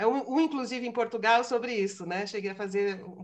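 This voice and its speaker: With audible room echo, a woman speaks at a very fast pace in fairly even intonation. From Brazil. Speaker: philosophy lecturer. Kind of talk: lecture. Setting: video call webinar.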